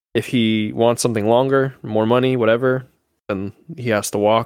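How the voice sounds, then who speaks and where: A man with an ordinary speaking voice, medium pitch, fairly even intonation and a moderate pace. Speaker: sports podcast co-host. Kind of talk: casual chat.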